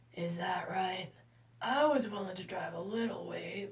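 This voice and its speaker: A woman uses a put-on character voice that is raspy, at a medium pitch. Her pace is moderate and her pitch variation ordinary. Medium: read story. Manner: polite, modest.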